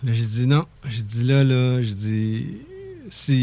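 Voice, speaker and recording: A man's dark, mellow tone with a Quebec accent. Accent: Québécois French. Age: 60s. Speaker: entrepreneur. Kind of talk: radio interview, personal testimony. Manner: animated.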